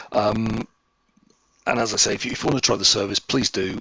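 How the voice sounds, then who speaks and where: Medium in pitch, a man talks with a British accent in a bright, sharp tone. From England. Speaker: market analyst. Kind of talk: webinar presentation. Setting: webinar. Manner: halting.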